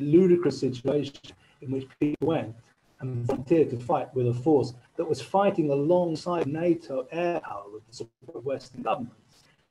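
A man's fairly high voice, dark and mellow, somewhat breathy, at a moderate pace with ordinary pitch variation. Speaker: journalist. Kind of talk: webinar talk. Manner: halting. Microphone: mic cutting out.

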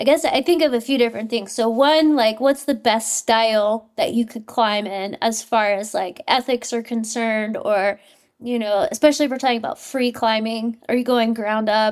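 A woman with an unremarkable speaking voice, moderate pace, hardly any pauses and ordinary pitch variation. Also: fairly high pitch for a woman. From US South, southeast Louisiana. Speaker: professional climber. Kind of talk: casual chat.

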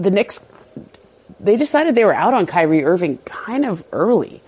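The speaker is a woman. Her pitch rises and falls over a very wide range. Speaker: sports journalist. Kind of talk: casual interview chat about NBA. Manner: fast talker.

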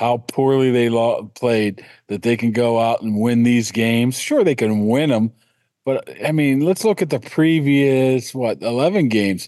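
Against a quiet background, a man speaks with a dark, mellow tone and very even loudness. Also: medium pitch for a man, ordinary pitch variation, fairly slow pace. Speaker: sports beat writer. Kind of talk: casual sports interview.

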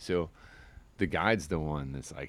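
Vocal fry marks this man's speech. His pitch sits very deep and low. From US Midwest. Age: 40s. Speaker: fishing guide. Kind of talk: casual interview chat. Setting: outdoors on a porch.

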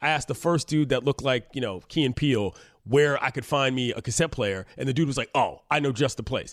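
In a very clean recording with a silent background, a man with a plain, everyday voice speaks at a fairly quick pace, medium pitch and ordinary pitch variation. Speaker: sports radio host. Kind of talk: casual chat.

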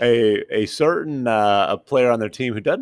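With a plain, everyday voice, a man speaks at a moderate pace and with lively intonation, the sound dry and close with no echo. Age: 40s. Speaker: NBA reporter. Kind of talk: casual chat. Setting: on location.

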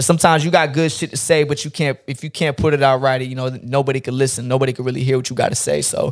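A man with an American accent and a medium pitch keeps a fairly even intonation while talking at a very fast pace with hardly any pauses. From North Carolina (Fort Bragg area), US. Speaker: barber and internet personality. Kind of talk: casual chat.

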